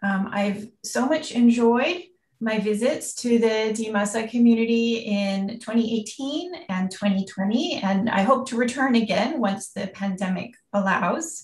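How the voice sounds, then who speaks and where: A woman with an American accent at a fairly high pitch, fairly slow in pace, with ordinary pitch variation. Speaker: university researcher, anthropologist. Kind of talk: lecture. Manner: hesitant, many fillers.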